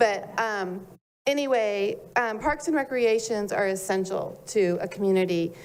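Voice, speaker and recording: At a fairly slow pace, a woman with a fairly high voice talks with ordinary pitch variation while the room echoes audibly. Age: 60s. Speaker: public commenter. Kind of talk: public comment at city meeting.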